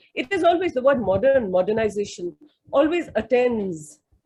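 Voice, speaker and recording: Pitch swings very widely throughout. The delivery is somewhat breathy and moderately paced. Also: woman. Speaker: academic in literature and history. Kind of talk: webinar question from audience. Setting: video call webinar. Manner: halting, many fillers and repetitions.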